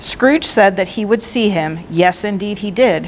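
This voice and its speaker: With noticeable background noise around her, a woman talks at a moderate speed, her medium pitch varying in an ordinary way. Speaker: librarian reading aloud. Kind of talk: audiobook-style read-aloud of a classic novel.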